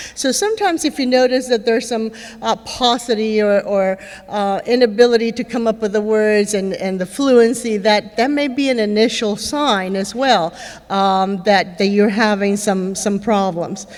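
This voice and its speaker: A woman speaks at a moderate pace in a fairly high pitch, with noticeable background noise. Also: ordinary pitch variation. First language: Spanish. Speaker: neurologist speaker with Parkinson's. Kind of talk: conference talk. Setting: stage with audience. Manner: conversational, many fillers.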